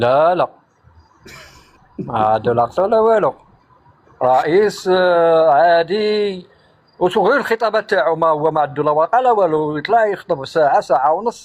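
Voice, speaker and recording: A man's high-pitched, lively voice at a moderate pace, with very even loudness and long, frequent pauses. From Morocco, Souss region (Amazigh). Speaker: live stream guest. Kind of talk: casual chat. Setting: live stream call.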